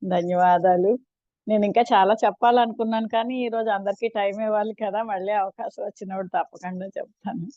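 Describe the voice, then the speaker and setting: A woman's fairly high voice keeps a fairly even intonation. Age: 60s. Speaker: school teacher. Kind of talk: participant testimonial. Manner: hesitant, with fillers.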